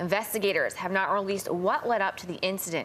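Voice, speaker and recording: A woman with an American accent at a very fast pace, medium pitch and fairly even intonation, over noticeable background noise. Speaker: TV news reporter and anchor. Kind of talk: TV news reporting and live stand-ups.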